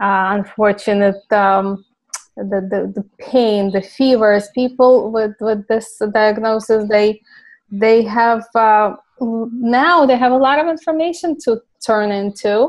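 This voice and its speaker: A woman speaks with a Ukrainian accent at a fairly high pitch. Her pace is very slow. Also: ordinary pitch variation. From Ukraine. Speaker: clinical pharmacist. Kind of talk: interview.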